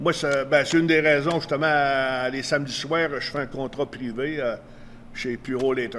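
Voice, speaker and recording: A man talks at a fairly slow pace with fairly even intonation. Noticeable background noise sits behind him. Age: 70s. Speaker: retired pro wrestler. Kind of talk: interview. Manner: casual, hesitant with fillers.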